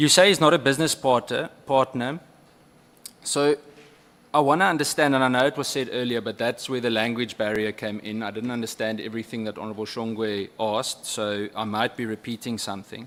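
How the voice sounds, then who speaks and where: With a South African accent, a man talks at a fairly quick pace in a medium pitch with ordinary pitch variation. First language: Afrikaans. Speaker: member of parliament. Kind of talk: parliamentary questioning. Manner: halting.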